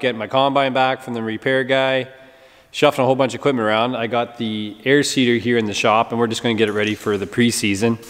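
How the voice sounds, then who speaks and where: Over a quiet background, a man talks very fast with fairly even intonation. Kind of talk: casual vlog chat. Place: workshop. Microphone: phone near.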